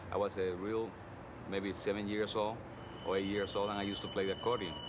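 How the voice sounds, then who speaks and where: In a room with audible echo, a man speaks very fast at a fairly low pitch, with monotone, flat intonation and very even loudness. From Cuba. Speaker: musician. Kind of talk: interview.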